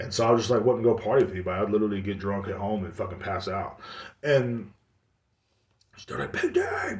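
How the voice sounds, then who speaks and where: With an American accent, a man talks at a fairly quick pace in an animated, somewhat breathy tone, with audible room echo. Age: 30s. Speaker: podcast host. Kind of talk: casual monologue.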